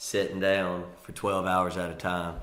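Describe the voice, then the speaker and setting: A man with a Mississippi accent speaks in a very deep, low voice with monotone, flat intonation, and audible room echo surrounds him. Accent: US Southern (Mississippi). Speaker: comedian. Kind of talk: casual interview chat.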